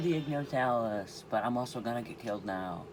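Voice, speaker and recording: At a moderate pace, a man with a medium pitch talks with lively intonation, with audible room echo and noticeable background noise in the recording. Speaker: gaming youtuber. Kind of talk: gameplay commentary. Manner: casual; quiet.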